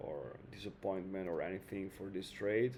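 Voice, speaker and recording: With an Italian accent, a man speaks in a dark, mellow, monotone voice with flat intonation at a fairly slow pace. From Italy. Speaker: trading video creator. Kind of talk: casual trading tutorial. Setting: home, air conditioning on. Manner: hesitant, many fillers.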